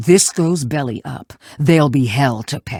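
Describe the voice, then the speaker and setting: At a moderate speed, a man puts on a character voice pitched fairly high. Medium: video game. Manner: gruff, curt.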